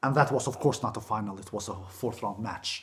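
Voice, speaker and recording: With a non-native accent, a man speaks at a fairly quick pace in a somewhat breathy voice with ordinary pitch variation. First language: not English. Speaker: tennis YouTuber. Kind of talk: solo video commentary. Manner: animated.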